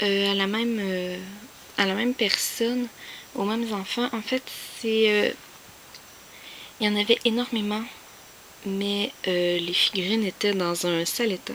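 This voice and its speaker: Speaking at a very slow pace with a Quebec accent, a woman keeps a medium pitch and fairly even intonation over noticeable background noise. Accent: Québécois French. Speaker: YouTuber, collector. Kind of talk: casual vlog show-and-tell. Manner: hesitant, many fillers.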